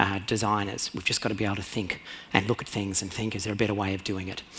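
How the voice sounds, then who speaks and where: Against noticeable background noise, a man with a fairly low pitch and an Australian accent speaks in a monotone, flat intonation. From rural Australia. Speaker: conference speaker, radiologist and CEO. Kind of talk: conference talk. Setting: stage with audience. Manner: fast; hesitant, many fillers.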